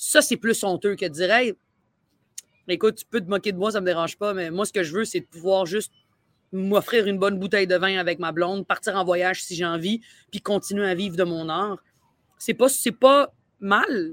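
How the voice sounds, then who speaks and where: A woman speaks at a moderate pace in a Quebec accent, with long, frequent pauses. The sound is dry and close, with no echo. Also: medium pitch for a woman, ordinary pitch variation, big swings in loudness, very clean recording, silent background. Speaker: comedian. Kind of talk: casual chat. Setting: outdoors.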